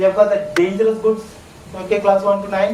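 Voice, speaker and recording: With a Keralan accent, a man speaks at a high pitch. Audible room echo and noticeable background noise surround his voice. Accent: Malayali (Mallu) Indian English. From South India, Kerala. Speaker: trainer. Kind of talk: lecture. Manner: conversational, frequent fillers and repetitions.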